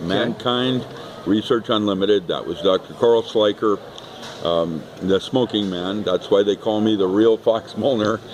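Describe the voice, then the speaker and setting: Over noticeable background noise, a man speaks at a fairly slow pace in a fairly low voice with fairly even intonation. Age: 70s. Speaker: author and speaker. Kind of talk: casual interview. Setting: expo hall. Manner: hesitant, many ums.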